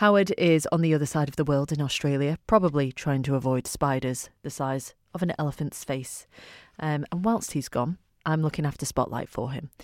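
Recorded very cleanly over a silent background, a woman speaks at a very deep, low pitch. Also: ordinary pitch variation, fairly quick pace. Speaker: radio presenter. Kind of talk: radio show presenting and interviewing. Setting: radio studio.

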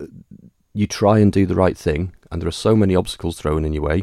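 A man with a very deep, low pitch, in a Manx accent. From Isle of Man, Douglas. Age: 40s. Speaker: election candidate. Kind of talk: interview.

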